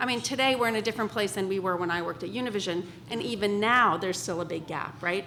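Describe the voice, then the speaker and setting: Noticeable background noise runs under this clip. A woman of medium pitch talks at a very fast pace with ordinary pitch variation. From Iran. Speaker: marketing executive and panelist. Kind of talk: panel discussion.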